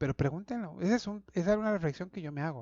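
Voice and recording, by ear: Delivered at a very fast pace with ordinary pitch variation, the voice has a slightly mellow tone and a dry, close sound with no echo. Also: man, high pitch for a man.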